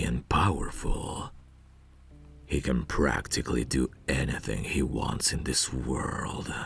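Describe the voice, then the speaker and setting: Putting on a character voice, a man talks at a fairly slow pace over clear background noise. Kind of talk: ASMR roleplay audio.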